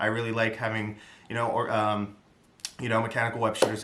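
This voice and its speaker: A man talks at a very fast pace with a medium pitch and a bright, sharp tone. Room echo can be heard. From New York area (part of upbringing in the Bronx). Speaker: YouTuber, film commentator. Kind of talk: casual solo film review. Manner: rambling, hesitant with many fillers.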